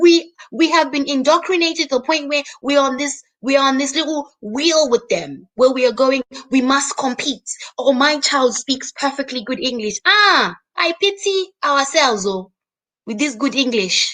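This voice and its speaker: With a Zimbabwean accent, a woman speaks in a high pitch. Her tone is animated and her intonation lively. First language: Shona. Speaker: YouTube host. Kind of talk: live stream monologue. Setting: live stream.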